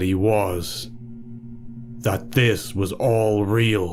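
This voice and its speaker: Here a man speaks with fairly even intonation. Music can be heard in the background. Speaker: narrator. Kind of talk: horror story narration.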